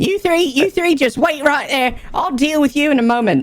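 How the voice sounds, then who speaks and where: In a put-on character voice, the speaker talks at a moderate pace with a high pitch. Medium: actual play. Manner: brusque, scolding.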